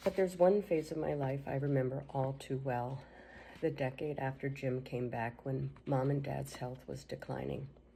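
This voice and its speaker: Marked by vocal fry, the voice has a dark, mellow tone, ordinary pitch variation and a moderate pace. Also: woman, very deep, low pitch for a woman. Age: 60s. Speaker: sibling giving a tribute. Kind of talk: reading aloud a written tribute.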